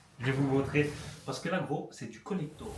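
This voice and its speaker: A man's medium pitch with ordinary pitch variation. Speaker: youtuber. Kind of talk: casual vlog. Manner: fast; halting.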